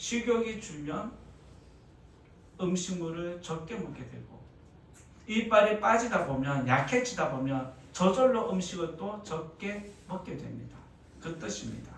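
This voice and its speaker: Amid audible room echo and noticeable background noise, a man with a high voice speaks at a very slow pace with lively intonation, big swings in loudness and long, frequent pauses. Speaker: pastor. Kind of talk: sermon. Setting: church.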